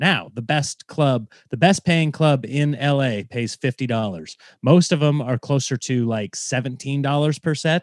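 An American-accented man with a normal speaking voice talks at a moderate pace with medium pitch and ordinary pitch variation. The sound is dry and close with no echo, and the background is quiet. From Nebraska. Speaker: stand-up comedian. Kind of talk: casual interview chat.

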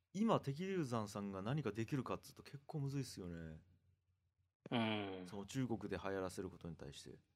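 Lively intonation and big swings in loudness mark this man's speech. He has a fairly low pitch and talks at a fairly quick pace. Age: 40s. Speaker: podcast host. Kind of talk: casual conversation.

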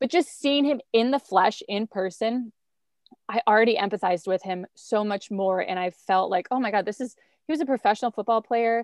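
In a dry, close recording with no echo, a woman with an American accent and an ordinary speaking voice talks at a fairly quick pace, her fairly high pitch showing ordinary variation. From rural central Wisconsin. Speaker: TV host and pop culture commentator. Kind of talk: casual chat.

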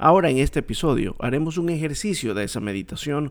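A man with lively intonation and vocal fry is heard in a very clean recording with a silent background. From Ecuador, coast region. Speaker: religious podcast host. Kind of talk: bible teaching monologue.

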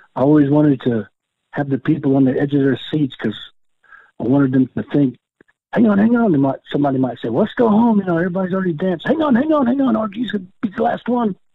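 Speaking at a very fast pace with an American accent, the man's pitch swings very widely. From Oklahoma. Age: 60s. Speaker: powwow dancer, world champion. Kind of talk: interview.

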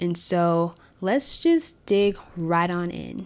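On a very clean recording with a silent background, a woman speaks at a fairly low pitch with fairly even intonation. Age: 20s. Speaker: podcast host. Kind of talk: solo podcast monologue on faith and politics. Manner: frequent filler words and hesitations.

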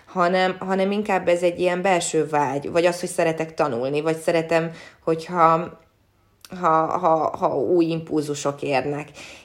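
A woman speaks with a very deep, low pitch. Her pace is fairly slow and her intonation fairly even. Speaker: sports reporter and former athlete. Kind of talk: interview. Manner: hesitant, many repeated words.

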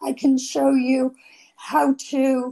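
Her voice is breathy and high-pitched. This woman also has a dark, mellow tone. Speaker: author. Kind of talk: interview. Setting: home overlooking a lake.

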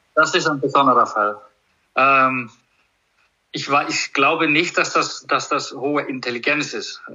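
Speaking at a fairly slow pace with long, frequent pauses, a man talks in an Icelandic accent. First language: Icelandic (speaking German). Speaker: horse trainer. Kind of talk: casual conversation interview. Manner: halting, many repetitions.

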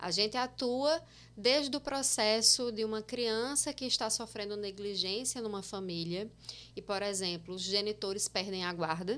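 A woman with a normal speaking voice talks at a fairly high pitch and a moderate pace, with ordinary pitch variation. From Paraíba sertão, Itaporanga (born in Osasco). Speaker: social worker and exam-prep teacher. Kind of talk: casual podcast interview.

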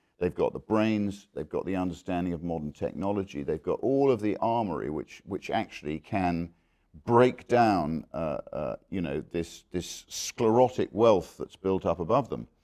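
Against a quiet background, a man with a dark, mellow tone and fairly low pitch speaks at a moderate pace with lively intonation. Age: 60s. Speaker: businessman and former politician. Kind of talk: interview. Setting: conference venue.

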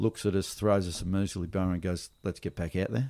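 A man's very deep, low voice with an Australian accent, dark and mellow in tone, on a very clean recording with a silent background. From Melbourne, Australia (western suburbs). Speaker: big wave surfer and environmental activist. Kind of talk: casual interview conversation.

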